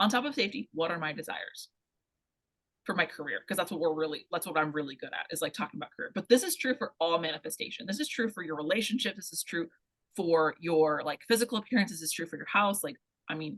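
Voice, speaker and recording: Very fast and full of big swings in loudness, a woman talks at medium pitch with lively intonation. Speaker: career coach. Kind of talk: workshop talk.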